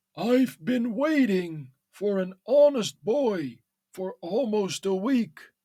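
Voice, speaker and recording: In a put-on character voice, a man talks very slowly in a high, shaky pitch with lively intonation. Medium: read story. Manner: trembling, pleading.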